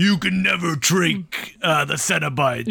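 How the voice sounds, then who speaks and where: Fairly high pitch and a fairly slow pace in a man's put-on character voice. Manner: menacing, authoritative.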